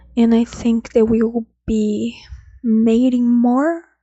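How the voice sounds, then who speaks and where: A soft-spoken woman talks here. Her pitch is fairly high. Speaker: F1 commentary YouTuber. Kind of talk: casual video commentary. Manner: halting.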